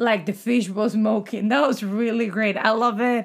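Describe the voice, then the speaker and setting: A woman with a fairly high voice is heard on a very clean recording with a silent background. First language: not English. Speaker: podcast host. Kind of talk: casual chat.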